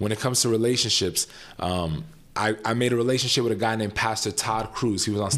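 With a New York accent, a man speaks fairly quickly at a fairly low pitch with ordinary pitch variation. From New York City. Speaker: pastor. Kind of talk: casual chat. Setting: barbershop.

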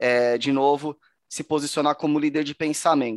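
A man speaks in a plain, everyday voice, fairly high in pitch, with fairly even intonation. His moderate pace comes through a dry, close sound with no echo. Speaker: podcast co-host, B2B marketer. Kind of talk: casual chat. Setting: virtual studio.

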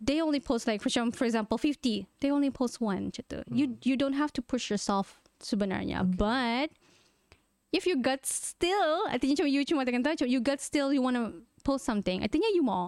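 A woman with a Malaysian accent speaks at a moderate pace and high pitch with lively intonation, in a dry, close sound with no echo on a very clean recording with a silent background. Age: 30s. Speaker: content creator. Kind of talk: interview.

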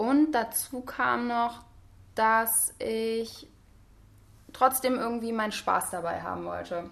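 A woman's fairly high voice at a very slow pace, broken by long, frequent pauses. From Hesse, Germany (Wiesbaden). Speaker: psychology student. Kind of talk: casual interview. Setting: apartment.

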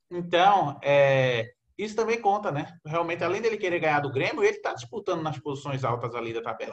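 A man with a high pitch, a fairly quick pace and lively intonation. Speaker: football podcast host. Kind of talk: casual football chat.

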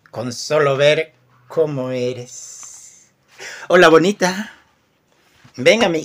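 A man with a fairly high pitch speaks very slowly, with ordinary pitch variation, big swings in loudness and long, frequent pauses. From Peru. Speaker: poet. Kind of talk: poetry reading; casual chat.

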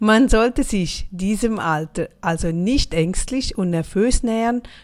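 A woman speaking at a very slow pace, on a very clean recording with a silent background. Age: 40s. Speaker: motivational podcaster. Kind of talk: motivational monologue.

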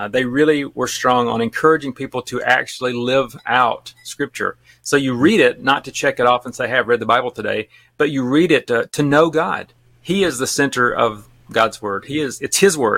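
Heard in a dry, close sound with no echo, a man with an American accent speaks at medium pitch and a moderate pace, with ordinary pitch variation and a bright, sharp tone. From Alabama. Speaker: missionary and podcaster. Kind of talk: casual interview chat.

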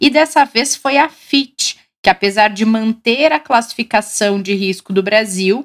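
Speaking at a very slow pace, a woman uses lively intonation in a dry, close recording with no echo. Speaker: financial show host. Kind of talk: live show hosting.

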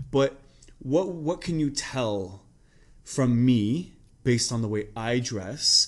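Speaking very slowly, a man uses a medium pitch and lively intonation. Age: 30s. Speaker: podcast host. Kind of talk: casual chat. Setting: in a clothing store.

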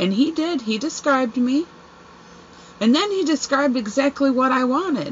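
Loud and at high pitch, a woman speaks with lively intonation at a moderate pace, leaving long, frequent pauses, against noticeable background noise. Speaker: podcast host. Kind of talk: casual chat. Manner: animated, laughing often.

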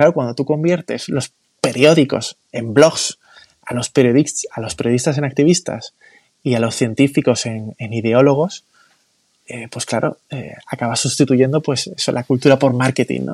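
This man has a normal speaking voice, fairly high pitch, lively intonation and a moderate pace, with a dry, close sound with no echo. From Spain, Málaga. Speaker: founder of a cultural movement. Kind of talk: casual interview.

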